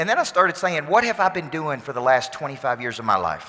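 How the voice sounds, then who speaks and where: This man speaks at a fairly high pitch with a bright, sharp tone and lively intonation. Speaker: motivational speaker and business coach. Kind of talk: conference keynote speech to an audience. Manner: intense, energetic, motivational.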